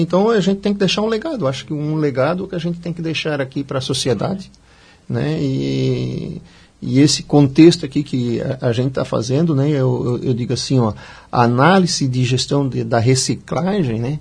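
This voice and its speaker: Fairly high in pitch, a man speaks at a moderate pace with lively intonation. His voice is somewhat breathy. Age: 50s. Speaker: civil engineering student and former construction worker. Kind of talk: radio interview. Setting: radio studio.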